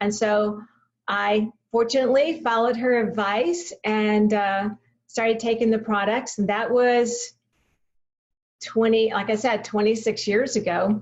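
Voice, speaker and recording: A woman's fairly high voice with a Texan accent, fairly slow pace and fairly even intonation. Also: very even loudness. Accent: Texan American. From Texas, Waco. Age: 70s. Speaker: health product presenter. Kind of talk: product training talk. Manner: hesitant fillers, repeated words.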